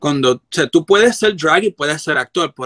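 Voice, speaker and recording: A man speaks in a bright, sharp tone with lively intonation. The sound is dry and close, with no echo. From Puerto Rico, Carolina. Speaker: drag performer. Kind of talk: interview. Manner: halting, many fillers.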